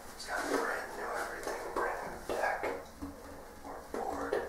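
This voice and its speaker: The voice belongs to a man. He talks very slowly. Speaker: skateboarder. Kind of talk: ASMR video. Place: home room.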